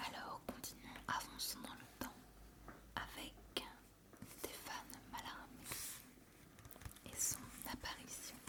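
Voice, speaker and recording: Whispering from a woman, very slow, broken by long, frequent pauses, over noticeable background noise. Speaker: ASMR creator. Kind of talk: poetry reading. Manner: whispered, soft.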